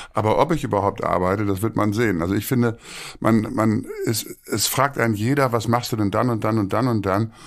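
Against a quiet background, a man talks at a fairly quick pace with very even loudness and fairly even intonation. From Münster, western Germany; Germany. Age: 60s. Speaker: theatre director; podcast guest. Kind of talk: interview conversation. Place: home room.

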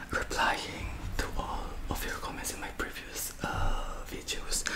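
The male speaker whispers his words out very slowly. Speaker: ASMR creator. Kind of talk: casual vlog chat. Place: home room. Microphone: studio mic.

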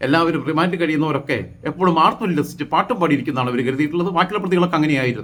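This man's fairly high voice holds a very even loudness while his pitch varies in an ordinary way. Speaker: YouTube political commentator. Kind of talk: opinion monologue. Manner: halting, with fillers.

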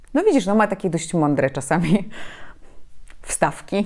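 A woman speaks at a moderate pace and a medium pitch against a quiet background. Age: 30s. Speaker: journalist and public speaking trainer; journalist, public speaking trainer. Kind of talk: interview. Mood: reflective, calm. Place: home room. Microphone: lapel.

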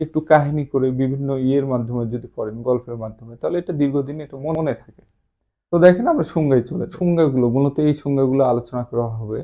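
A man uses a normal speaking voice, fairly high in pitch, with ordinary pitch variation and big swings in loudness. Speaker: police promotion exam tutor. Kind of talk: lecture.

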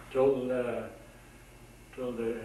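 A man's voice carries audible room echo along with noticeable background noise. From Aegean Macedonia. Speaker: immigrant oral history interviewee. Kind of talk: interview answer. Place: office. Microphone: old recording.

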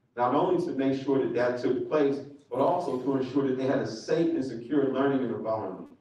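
A man talks fairly quickly, his voice carrying audible room echo. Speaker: candidate. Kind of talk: forum speech. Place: hall.

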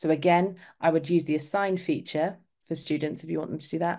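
This woman has a dark, mellow tone and an English accent. Her intonation stays monotone and flat. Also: quiet background. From England. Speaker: community specialist, former ESL teacher. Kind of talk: webinar hosting and software demo. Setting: online webinar.

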